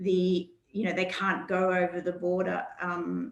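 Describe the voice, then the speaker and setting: A fairly slow-paced woman's voice in an Australian accent. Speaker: regional tourism organisation presenter. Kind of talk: webinar presentation. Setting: online webinar.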